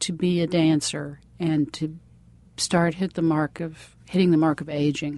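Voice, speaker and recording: Dark and mellow is the tone of this woman's voice. The background is quiet. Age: 60s. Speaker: interviewer. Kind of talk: interview. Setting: farmer's market.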